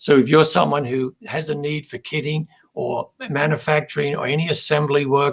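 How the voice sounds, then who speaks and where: Somewhat breathy, a man speaks with an Australian accent and fairly even intonation. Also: fairly high pitch for a man, moderate pace. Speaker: company president. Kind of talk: interview. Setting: live video stream.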